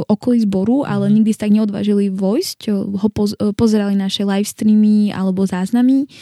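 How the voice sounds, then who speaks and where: In a dry, close recording with no echo, a woman of medium pitch talks at a fairly quick pace in a dark, mellow, somewhat breathy voice with monotone, flat intonation. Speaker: church member living abroad. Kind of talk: casual interview.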